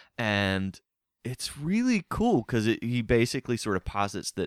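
Recorded very cleanly over a silent background, with a dry, close sound and no echo, a man speaks at a moderate pace. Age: middle-aged. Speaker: trivia podcast host. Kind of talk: casual chat with trivia quiz.

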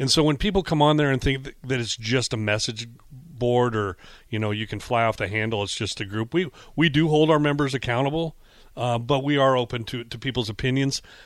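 Speaking with an American accent, a man has an unremarkable speaking voice of medium pitch and ordinary pitch variation, moving at a fairly quick pace in a very clean recording with a silent background. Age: 40s. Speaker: fan group founder. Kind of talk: sports radio interview. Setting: radio studio.

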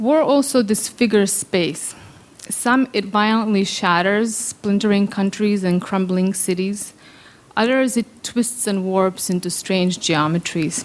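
In a Serbo-Croatian accent, a woman talks at a fairly slow pace and a medium pitch, keeping her loudness very even and her pitch variation ordinary. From Bosnia (Sarajevo). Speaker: theoretical physicist. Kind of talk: storytelling. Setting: stage with audience.

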